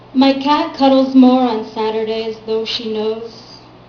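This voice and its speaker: Over noticeable background noise, a woman talks at a fairly slow pace with monotone, flat intonation. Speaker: poet. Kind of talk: poetry reading. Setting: live venue with audience.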